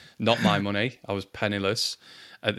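A man with a Lancashire accent and a very deep, low pitch, on a very clean recording with a silent background. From Lancashire, northern England. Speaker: marketing executive and podcast co-host. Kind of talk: casual chat.

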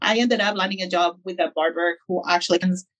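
Fairly even intonation in a woman's fairly low-pitched voice. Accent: Spanish. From Peru. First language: Spanish. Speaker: barbershop owner. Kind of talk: interview.

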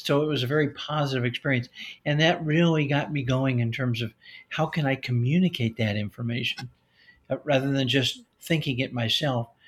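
With fairly even intonation, a man speaks at a fairly quick pace in a somewhat breathy voice. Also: fairly high pitch for a man, very clean recording, silent background. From US Midwest, Chicago. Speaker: retired pediatrician and author. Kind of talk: interview.

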